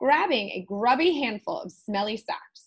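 Over a quiet background, the speaker reads in a natural reading voice with lively intonation.

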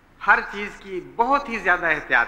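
A man's raised, projected voice with very wide pitch swings. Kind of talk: sermon. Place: church.

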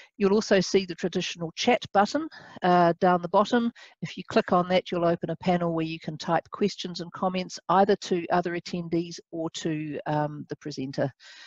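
Dry and free of echo, this is an unremarkable speaking voice from a woman. She keeps a moderate pace and fairly even intonation. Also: fairly low pitch for a woman, quiet background. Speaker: webinar host. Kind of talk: moderator introduction. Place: office. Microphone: headset.

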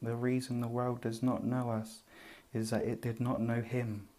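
A soft-spoken man's dark, mellow, soothing voice in a monotone, flat intonation. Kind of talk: soft-spoken Bible reading for relaxation. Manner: soft-spoken, soothing.

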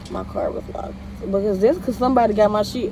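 A woman speaks with ordinary pitch variation over background music. The sound is dry, with no echo. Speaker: vlogger. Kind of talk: casual vlog chat. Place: car. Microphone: phone near.

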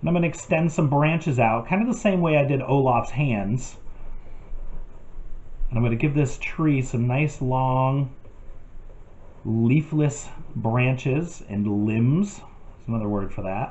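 A man's somewhat breathy voice at a fairly slow pace, with long, frequent pauses. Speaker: art teacher. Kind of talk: tutorial. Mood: calm, friendly.

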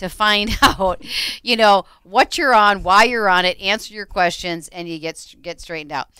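A woman with an American accent and a bright, sharp tone, the sound dry with no echo over a quiet background. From Minnesota. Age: 50s. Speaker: radio co-host and realtor; radio show co-host. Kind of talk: radio talk show. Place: studio. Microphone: headset.

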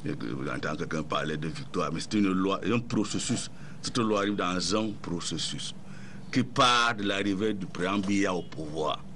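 With light background noise, a man speaks in an unremarkable speaking voice, fairly low in pitch with lively intonation. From Cameroon. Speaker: ruling party supporter panelist. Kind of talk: heated debate. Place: studio. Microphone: studio mic.

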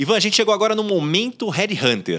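Vocal fry runs through a man's bright, sharp tone. He talks at a moderate pace. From Brazil. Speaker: podcast host and headhunter; podcast host. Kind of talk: casual chat. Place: studio. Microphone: studio mic.

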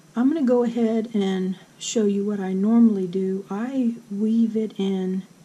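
A woman speaks at a very slow pace, somewhat breathy, with a dark, mellow tone. Her pitch is fairly high and her intonation fairly even. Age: 60s. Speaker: crochet instructor. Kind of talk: tutorial.

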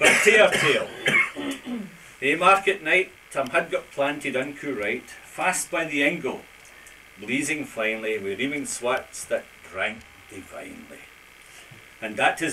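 A man speaks at a fairly slow pace with very wide pitch swings over noticeable background noise. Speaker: amateur poetry reciter. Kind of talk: poetry reading. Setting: live event with audience. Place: hall. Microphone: old recording.

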